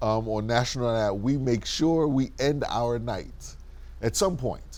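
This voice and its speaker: A man speaks in an ordinary speaking voice at a medium pitch. His pace is fairly slow, with ordinary pitch variation. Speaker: interview host, civic organization vice president. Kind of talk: interview question.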